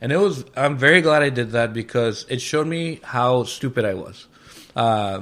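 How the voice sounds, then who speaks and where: In a Spanish accent, a man speaks at a moderate pace and medium pitch with lively intonation. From Mexico. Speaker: chef and restaurant owner. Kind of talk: casual interview chat. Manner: casual, filler-heavy.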